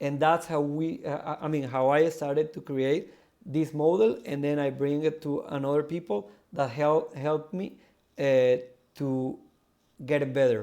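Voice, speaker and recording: A man with a Spanish accent, fairly high in pitch, his tone dark and mellow, his delivery fairly slow and fairly even in intonation. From South America. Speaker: crypto project founder. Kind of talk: live audio AMA interview. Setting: live audio stage. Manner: halting, many fillers and repeats.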